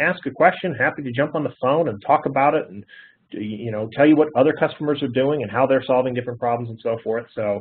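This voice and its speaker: A man talks at a fairly quick pace, his pitch medium with ordinary pitch variation. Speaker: IT security consultant and webinar presenter. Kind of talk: training webinar. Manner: fast; many fillers and hesitations.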